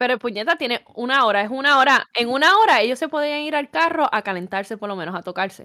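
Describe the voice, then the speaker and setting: A woman with a strong Puerto Rican accent, high pitch, very wide pitch swings, a bright, sharp tone, a very fast pace and hardly any pauses, in a dry, close sound with no echo. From Puerto Rico. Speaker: podcast co-host. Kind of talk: casual chat.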